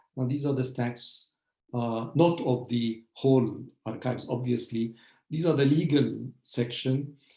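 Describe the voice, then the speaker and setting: A man's dark, mellow, somewhat breathy voice of medium pitch at a fairly slow pace, with audible room echo. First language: Arabic. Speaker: historian, professor. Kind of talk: lecture. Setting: video call webinar. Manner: hesitant, many fillers.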